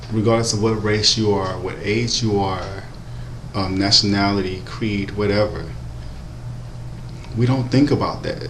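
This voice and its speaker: A man speaks quietly in a fairly low voice, leaving long, frequent pauses. Audible room echo and noticeable background noise surround him. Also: ordinary pitch variation, fairly slow pace. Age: 20s. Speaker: vlogger. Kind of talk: personal vlog monologue. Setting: at work. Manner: speaking quietly; hesitant with many ums.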